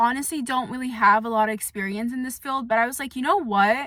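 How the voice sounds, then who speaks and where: Loud, bright, sharp tone from a woman with a high pitch and fairly even intonation. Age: 20s. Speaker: vlogger. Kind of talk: casual chat. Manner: soft-spoken.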